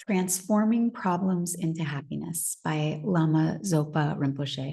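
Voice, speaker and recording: A woman's dark, mellow, somewhat breathy voice sits at a fairly low pitch and carries lively intonation. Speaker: meditation teacher. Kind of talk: reading aloud; casual talk to live audience. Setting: live online session. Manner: hesitant, with fillers.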